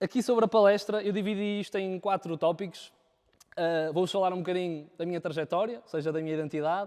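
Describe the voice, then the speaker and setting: A man talks at a very fast pace in a high pitch, with ordinary pitch variation. His loudness swings widely. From northern Portugal, Viana do Castelo. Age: 20s. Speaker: videographer. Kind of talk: talk to a live audience. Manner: halting, many fillers.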